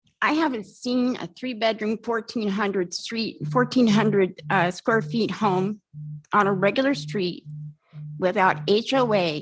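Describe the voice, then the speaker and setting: Somewhat breathy, a woman speaks at a medium pitch and a fairly slow pace with lively intonation. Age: 60s. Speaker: resident giving public comment. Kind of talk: public comment at council hearing. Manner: heated, confrontational.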